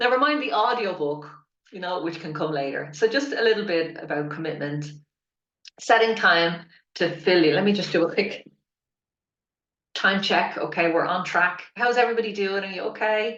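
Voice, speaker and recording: An Irish accent marks this woman's animated speech, which has lively intonation, a medium pitch and a moderate pace broken by long, frequent pauses. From Ireland. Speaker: spiritual business mentor and author coach. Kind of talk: online workshop.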